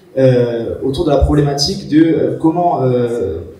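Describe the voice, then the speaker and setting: The speech comes at a fairly slow pace, with noticeable background noise and audible room echo. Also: man. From Corsica, France. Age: 20s. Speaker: student project presenter. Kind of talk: project presentation. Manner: halting, many hesitations.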